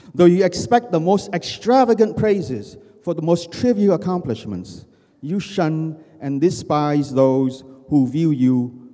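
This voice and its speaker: Against a quiet background, a man with a fairly high pitch and a dark, mellow tone speaks at a fairly slow pace with very wide pitch swings. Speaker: poet and writer; poet. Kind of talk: poetry reading. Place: hall. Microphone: handheld.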